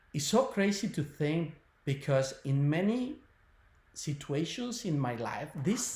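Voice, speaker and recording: A man speaks at a very slow pace. His fairly high pitch swings very widely. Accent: non-native. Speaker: spiritual healer and webinar presenter. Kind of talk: webinar talk. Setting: online video webinar. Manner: hesitant, many fillers.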